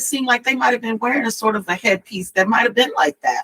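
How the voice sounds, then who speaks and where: A woman with a Southern US accent uses a raised, projected voice with a bright, sharp tone, in a dry, close sound with no echo. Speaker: author. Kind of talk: casual chat. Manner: halting.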